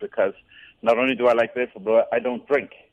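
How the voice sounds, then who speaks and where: Speaking at a very fast pace, the man has an Irish accent. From Ireland, near Dublin. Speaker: Irish pub owner. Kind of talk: radio phone interview. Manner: hesitant with many fillers.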